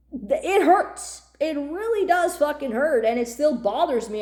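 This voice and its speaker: This loud, animated voice moves at a moderate pace with very wide pitch swings. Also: woman. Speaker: YouTuber. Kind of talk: rant.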